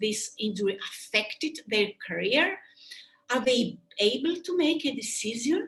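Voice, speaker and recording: A woman with a Greek accent speaks at a fairly slow pace, her fairly high pitch moving in very wide swings. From Greece. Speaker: sports medicine doctor and surgeon. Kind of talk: webinar lecture. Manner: halting.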